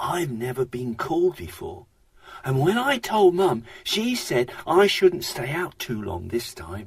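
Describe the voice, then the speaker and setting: A man puts on a character voice that is gruff and husky yet fairly high in pitch. He speaks at a fairly slow pace. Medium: read story. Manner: friendly, eager, laughing.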